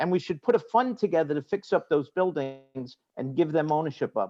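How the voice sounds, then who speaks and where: With a Brooklyn accent, this man talks at a fairly quick pace in a dark, mellow tone, his lively intonation paired with big swings in loudness and a dry, close sound with no echo. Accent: New York (Brooklyn). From New York City (Brooklyn, Queens). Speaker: real estate lawyer/developer panelist. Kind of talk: panel discussion.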